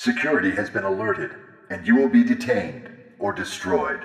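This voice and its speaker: A put-on character voice moves at a fairly quick pace with very wide pitch swings and clear echo. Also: man, fairly high pitch for a man. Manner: cold, threatening.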